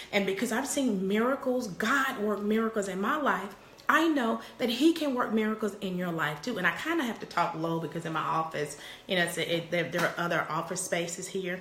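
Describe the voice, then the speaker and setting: Through noticeable background noise and audible room echo, a woman with a medium pitch speaks at a fairly quick pace, her pitch swinging very widely. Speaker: parenting coach and live streamer. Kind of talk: live stream chat with viewers. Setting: office. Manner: repetitive, stammering starts.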